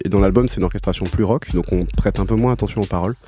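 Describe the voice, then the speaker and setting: The speaker's pitch varies in an ordinary way, with music playing in the background. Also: man. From France, Toulouse. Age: 20s. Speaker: musician and record producer. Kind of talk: radio interview. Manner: halting.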